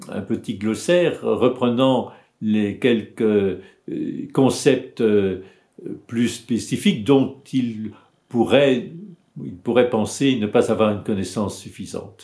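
This man talks at a very slow pace in a medium-pitched, dark, mellow voice with ordinary pitch variation. The background is quiet. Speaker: psychoanalyst and author. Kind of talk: book presentation video. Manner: halting. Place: home room. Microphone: webcam.

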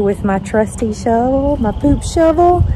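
A woman speaks at a moderate pace. The sound is dry with no echo, with noticeable background noise. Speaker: dog owner vlogger. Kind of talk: casual vlog chat. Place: garden. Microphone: phone near.

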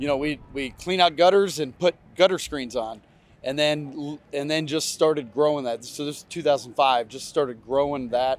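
Delivered at a moderate pace in an American accent, the speech has ordinary pitch variation and a dry sound with no echo. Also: man, fairly high pitch for a man. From US Midwest (Ohio). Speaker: racing team owner and businessman. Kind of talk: interview. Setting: outdoors at a race track. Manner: casual, many fillers. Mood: relaxed, reflective storytelling. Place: stadium.

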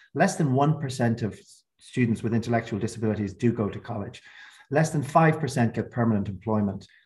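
Over a quiet background, a man sounds somewhat breathy and shows ordinary pitch variation. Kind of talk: webinar opening remarks. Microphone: video call.

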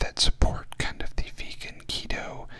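A man is whispering. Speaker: vlogger. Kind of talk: casual vlog chat. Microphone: studio mic.

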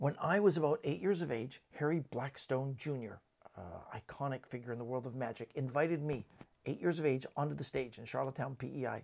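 At a fairly quick pace with few pauses, a man speaks at a medium pitch with ordinary pitch variation, a slightly mellow tone and vocal fry.

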